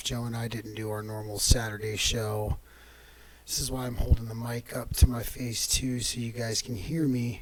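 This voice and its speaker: A man's medium-pitched, monotone, flat voice against noticeable background noise. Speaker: podcast host. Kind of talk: casual solo commentary.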